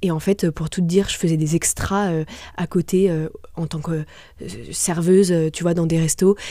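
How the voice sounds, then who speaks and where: The speaker keeps a moderate pace and monotone, flat intonation, with long, frequent pauses. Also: woman, fairly low pitch for a woman. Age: 20s. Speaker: restaurant entrepreneur. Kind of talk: interview. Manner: hesitant, many fillers.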